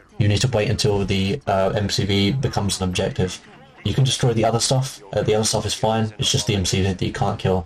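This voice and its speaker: Noticeable background noise sits behind a man's voice. He speaks at a fairly quick pace in a fairly low pitch with ordinary variation. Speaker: gaming speedrunner. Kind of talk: gameplay commentary tutorial. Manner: hesitant, many fillers; fast.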